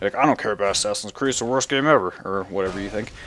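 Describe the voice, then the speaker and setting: Ordinary pitch variation marks this man's voice. He delivers his words at a very fast pace. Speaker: gaming YouTuber. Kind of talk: casual vlog monologue. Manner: rambling with many fillers.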